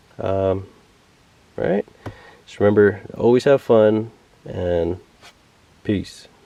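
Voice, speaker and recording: Over noticeable background noise, a man with a fairly low pitch speaks at a very slow pace, with long, frequent pauses, big swings in loudness and ordinary pitch variation. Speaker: RC hobby youtuber. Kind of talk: tutorial. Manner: hesitant, many fillers.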